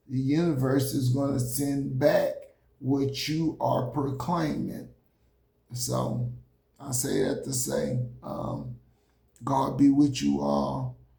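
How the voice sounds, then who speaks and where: In a room with audible echo, a man speaks very slowly, with long, frequent pauses. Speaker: motivational speaker. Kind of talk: motivational talk. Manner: halting.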